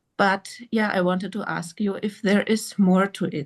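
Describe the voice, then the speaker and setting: A woman with a non-native accent speaks very slowly at a medium pitch. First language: not English. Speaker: participant in spiritual group call. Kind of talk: group Q&A sharing. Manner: halting.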